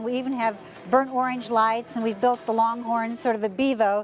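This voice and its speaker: A woman speaks at a high pitch, with a dry sound that has no echo. Faint music plays in the background. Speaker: interviewee. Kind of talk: interview answer. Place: street. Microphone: lapel.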